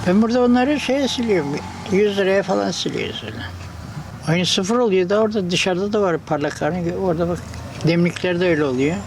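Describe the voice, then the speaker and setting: A man with a high pitch talks at a fairly quick pace with lively intonation. Noticeable background noise and audible room echo are present. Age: 80s+. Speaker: craftsman. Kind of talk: casual interview. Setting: small workshop.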